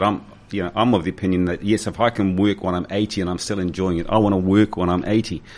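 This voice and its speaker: The speaker talks very fast with a New Zealand accent. The intonation stays fairly even. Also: man. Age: 60s. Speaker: radio host. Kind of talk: radio interview.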